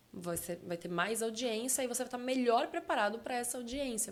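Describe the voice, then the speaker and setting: In a normal speaking voice, a woman talks at a moderate pace with a fairly high pitch and ordinary pitch variation. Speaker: communication and public speaking specialist. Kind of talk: podcast interview.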